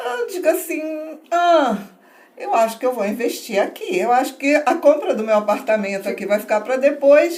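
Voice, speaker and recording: At a high pitch and a moderate pace, a woman speaks with very wide pitch swings. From northern Brazil, Belém do Pará. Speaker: tourism entrepreneur. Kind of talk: podcast interview.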